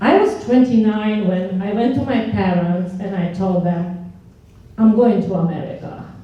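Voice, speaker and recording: A woman with a Romanian accent speaks at a fairly slow pace with ordinary pitch variation, amid noticeable background noise and audible room echo. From Romania (Transylvania). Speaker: engineer and instructor. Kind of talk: panel talk. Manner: halting.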